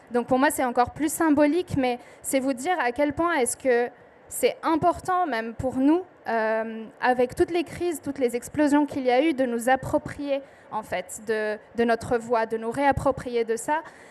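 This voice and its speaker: On a very clean recording with a silent background, a woman talks at a fairly slow pace in a high voice. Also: ordinary pitch variation. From southern Lebanon. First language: Arabic (speaking French). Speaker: poet. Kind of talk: panel talk at book festival. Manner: hesitant, many fillers.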